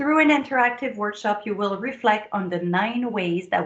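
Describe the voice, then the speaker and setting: Audible room echo surrounds a woman's voice. Her pitch is medium, with ordinary variation. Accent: French. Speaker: productivity coach and speaker. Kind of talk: conference promo video address. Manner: enthusiastic.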